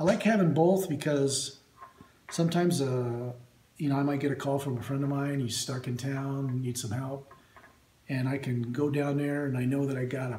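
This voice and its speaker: Speech at a moderate pace carries ordinary pitch variation, with audible room echo and light background noise. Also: man. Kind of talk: casual show-and-tell tutorial. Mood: relaxed, friendly. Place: workshop. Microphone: phone near.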